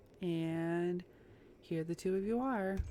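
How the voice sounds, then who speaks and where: A soft-spoken woman, fairly low in pitch, with ordinary pitch variation and music in the background. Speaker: gaming YouTuber. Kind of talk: let's play commentary reading game text aloud.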